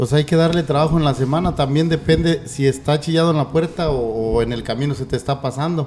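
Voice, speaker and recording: A moderate pace over noticeable background noise. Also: man. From Jalisco, Mexico. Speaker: charro horseman and horse trainer. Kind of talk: casual interview chat.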